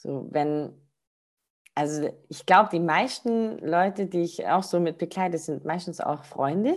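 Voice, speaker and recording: With lively intonation, a woman speaks at a fairly slow pace in a fairly low pitch. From Baden-Württemberg (Rottweil). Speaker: spiritual practitioner. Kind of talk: interview.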